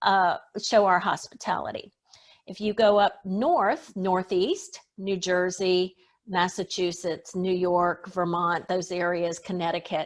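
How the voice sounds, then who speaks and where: A woman with an American accent, fairly slow and monotone in flat intonation, against a quiet background. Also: medium pitch for a woman. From US South. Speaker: etiquette expert. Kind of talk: interview.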